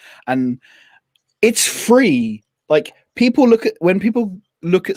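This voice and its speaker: A man with a West Country accent speaks with lively intonation, the sound dry and close with no echo. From England, Devon. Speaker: business coach and productivity creator. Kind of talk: casual chat. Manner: animated.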